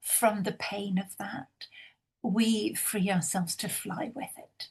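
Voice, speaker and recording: A woman's somewhat breathy voice, fairly high in pitch, with ordinary pitch variation. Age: 60s. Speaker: intimacy professional. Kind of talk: panel discussion.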